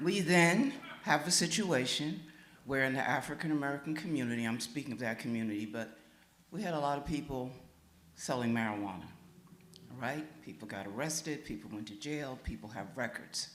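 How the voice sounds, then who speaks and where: A medium-pitched man at a fairly quick pace with lively intonation, plus audible room echo and noticeable background noise. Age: 80s+. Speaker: pastor. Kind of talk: public comment at listening session. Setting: church meeting with audience.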